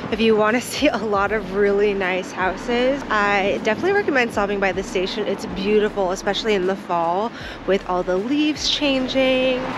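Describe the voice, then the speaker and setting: Over noticeable background noise, a woman talks at a fairly quick pace with ordinary pitch variation, the sound dry with no echo. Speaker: travel vlogger. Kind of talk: casual vlog chat. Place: street. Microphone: phone near.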